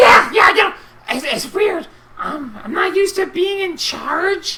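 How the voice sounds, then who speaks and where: At a fairly slow pace, the speaker puts on a character voice with an extremely high pitch. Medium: actual play. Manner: swings from pompous to offhand.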